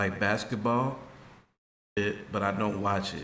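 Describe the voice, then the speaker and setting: A man with an American accent speaks quietly and fairly slowly, at a fairly low pitch with fairly even intonation. His tone is bright and sharp, and the room echo is audible. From Chicago. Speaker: streamer's friend. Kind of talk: casual chat. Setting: livestream. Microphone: too quiet for the mic.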